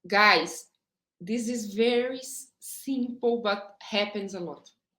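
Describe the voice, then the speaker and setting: A woman talks very slowly with a strong non-native accent, her fairly high pitch showing ordinary variation. Her tone is bright and sharp, and her loudness swings widely. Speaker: HR director. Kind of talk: interview. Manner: halting.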